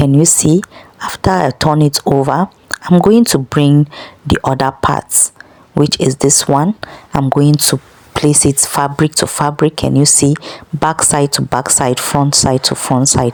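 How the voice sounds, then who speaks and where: At a fairly slow pace, a woman speaks in a very deep, low pitch with fairly even intonation and very even loudness. The sound is dry and close, with no echo. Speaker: sewing instructor. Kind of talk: tutorial.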